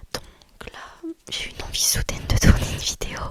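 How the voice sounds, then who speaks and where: A woman is whispering. Her pace is fairly slow. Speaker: ASMR creator, student. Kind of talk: ASMR whispered talk to camera. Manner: whispering, soft, chatty.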